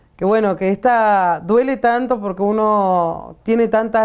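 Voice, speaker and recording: Over a quiet background, a woman speaks at a fairly slow pace in a plain, everyday voice with ordinary pitch variation. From Argentina. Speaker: community organizer, workers' movement leader. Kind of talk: interview. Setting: studio. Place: studio. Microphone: lapel.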